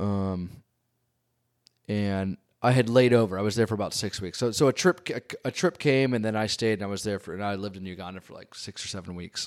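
A man with a fairly low pitch speaks fairly quickly, with ordinary pitch variation in an ordinary speaking voice. The recording is very clean, with a silent background. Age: 40s. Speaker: photographer. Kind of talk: casual chat.

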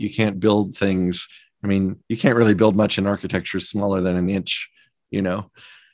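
Fairly even intonation at a fairly quick pace, in a Midwestern American accent over a quiet background. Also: man. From US Midwest (Omaha, Nebraska). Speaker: architect and professor. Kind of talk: interview conversation.

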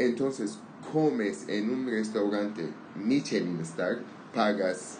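With audible room echo, a man talks at a very slow pace. His pitch is fairly low with ordinary pitch variation. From Armenian, raised in Syria/Lebanon. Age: 30s. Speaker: language learning conversation partner. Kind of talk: casual chat. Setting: outdoors on a patio. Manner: halting.

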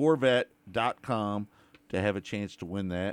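A man with a plain, everyday voice speaks at a fairly slow pace with lively intonation, in a very clean recording with a silent background. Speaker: radio host. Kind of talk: casual sports radio chat.

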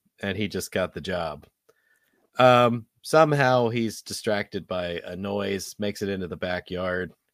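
Fairly low in pitch, a man talks at a moderate pace with ordinary pitch variation in an unremarkable speaking voice, on a very clean recording with a silent background. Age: 40s. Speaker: podcast host, movie reviewer. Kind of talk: casual chat, movie review.

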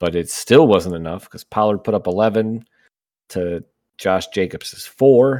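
A man talks at a moderate pace in a plain, everyday voice, his pitch fairly low. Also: very clean recording, silent background. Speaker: co-host. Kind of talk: casual banter.

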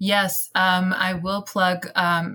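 A woman with a Persian accent speaks in a monotone, flat intonation. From Iran. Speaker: actor and theater director. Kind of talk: casual panel discussion.

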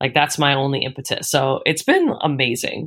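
The voice is a woman's, with an American accent. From Philadelphia, Northeast Philly. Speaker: musician. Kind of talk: casual interview.

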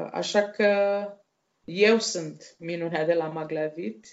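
A woman speaks at a very slow pace, her intonation fairly even. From Romania, Dolj county. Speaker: guest, blind woman telling life story. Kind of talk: interview testimony.

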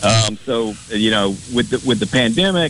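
A man talks at a fairly slow pace and a fairly low pitch amid noticeable background noise. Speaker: college arts program representative. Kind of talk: casual interview chat. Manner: halting, hesitant.

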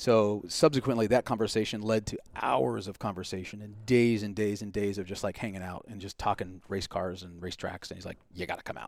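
In an American accent and an unremarkable speaking voice, the speaker talks at a fairly quick pace with hardly any pauses, ordinary pitch variation and big swings in loudness. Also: man, fairly low pitch for a man. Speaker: driving instructor. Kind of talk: casual chat.

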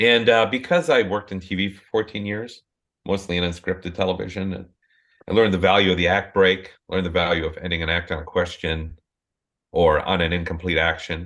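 A man's very deep, low voice with an Upper Midwest accent, fairly even intonation, big swings in loudness and a fairly quick pace. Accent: Upper Midwest American. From southeastern Minnesota, US Midwest. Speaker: novelist. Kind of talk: interview conversation.

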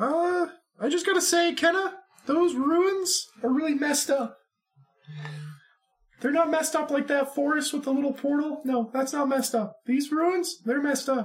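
Pitching his put-on character voice extremely high, a man performs. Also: moderate pace. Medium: actual play. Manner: chatty, emphatic.

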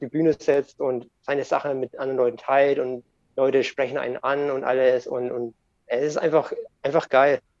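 A man's medium-pitched, monotone voice with flat intonation at a moderate pace, dry and close with no echo. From Germany, bilingual with American parent. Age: 30s. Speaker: skateboard YouTuber and podcaster. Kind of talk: casual chat.

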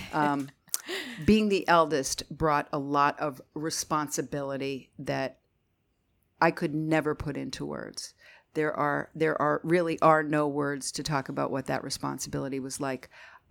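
In a very clean recording with a silent background, a woman with a Northeast Pennsylvania accent speaks at a very deep, low pitch with fairly even intonation. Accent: Northeastern Pennsylvania. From Northeastern Pennsylvania (Scranton). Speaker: marketing agency owner. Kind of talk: interview.

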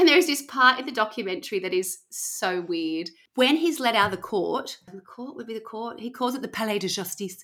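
A woman speaks at a fairly high pitch in a bright, sharp tone, with very wide pitch swings. Her pace is fairly quick and her loudness swings a lot. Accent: Australian. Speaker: podcast host. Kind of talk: casual storytelling chat.

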